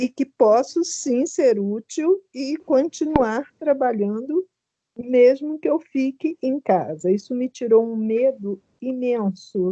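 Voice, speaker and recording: A woman's high, dark, mellow voice, very slow, with lively intonation and a dry, close sound with no echo. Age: 60s. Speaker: retired teacher, workshop participant. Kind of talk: personal testimony. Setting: video call.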